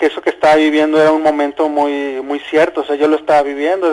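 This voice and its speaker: A man talks at a fairly quick pace. His voice is fairly high. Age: 30s. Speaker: caller. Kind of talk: testimony. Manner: halting.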